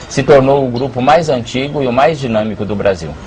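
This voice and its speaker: A man speaks at a moderate pace. There is noticeable background noise behind him. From Brazil, São Paulo. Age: 60s. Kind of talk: interview.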